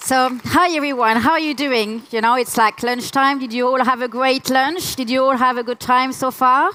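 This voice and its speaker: In a raised, projected voice with a French accent, the speaker talks at a moderate pace with fairly even intonation. There are hardly any pauses, and background noise is noticeable. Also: woman, high pitch for a woman. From France. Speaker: UX researcher, conference speaker. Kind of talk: conference talk. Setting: stage with audience.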